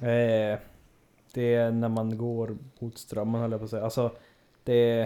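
On a very clean recording with a silent background, a man speaks at medium pitch in a dark, mellow tone. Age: 20s. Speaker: guest, traveller. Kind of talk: casual chat.

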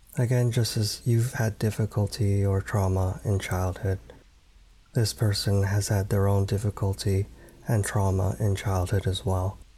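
A man speaks fairly slowly in a fairly low pitch, his calm, gentle, dark, mellow tone somewhat breathy, with ordinary pitch variation and very even loudness. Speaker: meditation guide. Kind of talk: guided meditation. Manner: slow, soft-spoken, calm and gentle with long pauses.

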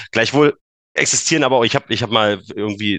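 An unremarkable speaking voice, a man's, moves at a fairly quick pace with ordinary pitch variation and a dry, close sound with no echo. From eastern Germany, Brandenburg. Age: 30s. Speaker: engineer and Bitcoin enthusiast. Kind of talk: casual interview.

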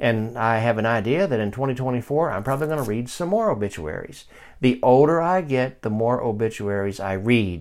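A man's unremarkable speaking voice at medium pitch, fairly quick pace and lively intonation, on a very clean recording with a silent background. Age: 50s. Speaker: Bible teacher and podcast host. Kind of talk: Bible study lesson. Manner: conversational, with frequent fillers and restarts.

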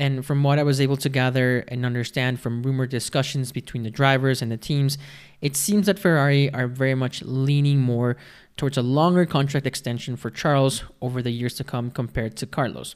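With an unremarkable speaking voice at medium pitch, a man talks at a fairly quick pace with fairly even intonation. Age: 20s. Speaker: podcast host. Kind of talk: solo commentary podcast.

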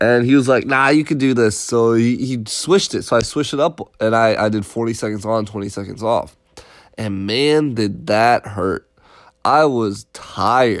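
Speaking at a moderate pace with an American accent, a man keeps a medium pitch and ordinary pitch variation. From Connecticut, US. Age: 20s. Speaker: podcast host, motivational self-development. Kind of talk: casual monologue. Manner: halting, many repetitions and fillers.

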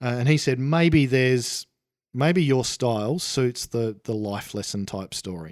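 Over a very clean recording with a silent background, a man with an Australian accent talks at medium pitch with lively intonation. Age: 40s. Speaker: author. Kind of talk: casual interview.

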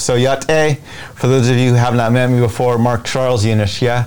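Against noticeable background noise, a man talks at a fairly quick pace and medium pitch. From Navajo Nation, Gallup area, New Mexico. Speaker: presidential candidate and Navajo activist. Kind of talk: interview.

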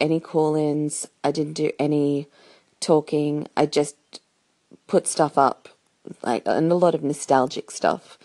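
A woman with an Australian accent speaks at a fairly slow pace. The sound is dry and close with no echo, over a quiet background. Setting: recording from bed, birds in background.

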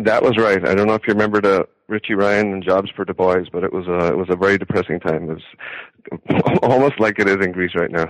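A man with an American accent at a fairly low pitch and fairly quick pace, with fairly even intonation and a dry, close sound with no echo. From Ireland, County Wexford. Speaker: agricultural economist, professor. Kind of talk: interview. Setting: phone call.

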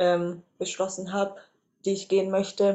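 A woman at a moderate pace with a fairly low pitch. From Reutlingen, Swabia, Germany. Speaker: social work student. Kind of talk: interview. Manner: hesitant, many fillers.

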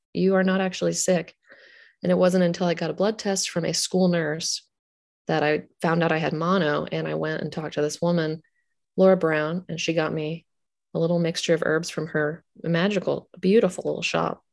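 Against a quiet background, a woman speaks at a moderate pace with a fairly low pitch and monotone, flat intonation. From Pittsburgh, Pennsylvania. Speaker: herbalist and author. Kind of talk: casual interview.

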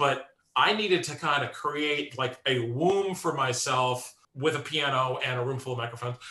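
A man's normal speaking voice at medium pitch, with ordinary pitch variation and a moderate pace. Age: 50s. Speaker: composer and musician. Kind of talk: interview conversation.

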